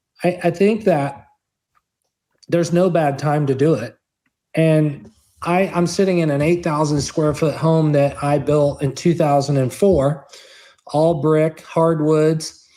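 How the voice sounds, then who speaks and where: A man's fairly high, dark, mellow voice in an American accent, with fairly even intonation, very even loudness, a fairly slow pace and long, frequent pauses. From Kansas. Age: 50s. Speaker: orthopedic surgeon and investor. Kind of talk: interview.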